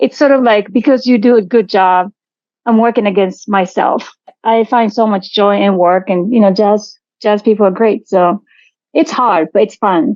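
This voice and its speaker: A woman's medium-pitched voice with a Japanese accent, moderate in pace, with ordinary pitch variation and very even loudness. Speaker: artistic director of a jazz venue. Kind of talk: interview.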